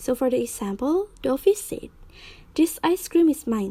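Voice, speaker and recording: Her voice dark and mellow in tone, a woman with an Indonesian accent speaks at a fairly slow pace, her pitch swinging very widely. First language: Indonesian or Balinese. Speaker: university student. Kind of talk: tutorial.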